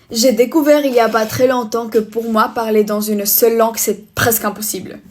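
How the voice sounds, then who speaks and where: Fairly even intonation from a woman with a fairly high pitch, at a moderate pace. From Spain. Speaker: vlogger. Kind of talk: casual get-ready-with-me vlog. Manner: halting, less fluent French.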